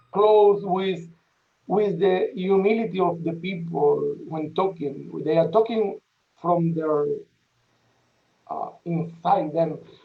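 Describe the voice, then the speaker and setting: A man's high voice in a strong Spanish accent, with audible room echo. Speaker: parish priest. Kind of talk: welcome remarks at a panel event. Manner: halting.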